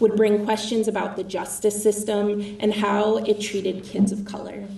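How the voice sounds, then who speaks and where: A shaky voice with an American accent at a moderate pace, over noticeable background noise. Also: woman. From Minnesota (Apple Valley, Minneapolis suburb). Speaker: political candidate. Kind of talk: speech.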